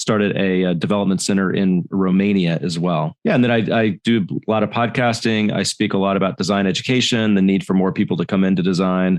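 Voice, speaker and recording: A man with an American accent speaks at a fairly quick pace in an unremarkable speaking voice, his fairly low pitch carried on fairly even intonation over a quiet background. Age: 50s. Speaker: design executive. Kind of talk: interview.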